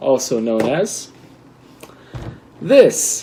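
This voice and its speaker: A man speaks at a very slow pace with lively intonation over noticeable background noise. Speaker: LEGO building video host. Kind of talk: casual building tutorial. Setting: at home.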